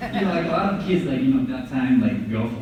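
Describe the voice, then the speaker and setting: A man with a fairly high voice and a Japanese accent makes very wide pitch swings. The recording has audible room echo and noticeable background noise. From Japan, Osaka. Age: 30s. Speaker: car toy designer. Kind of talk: presentation to an audience. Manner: casual, halting with many fillers.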